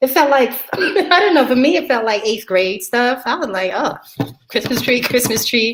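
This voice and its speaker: Her voice is high-pitched, and this woman with an American accent moves at a moderate pace through very wide pitch swings. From New York. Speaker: military veteran. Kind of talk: casual chat. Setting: livestream.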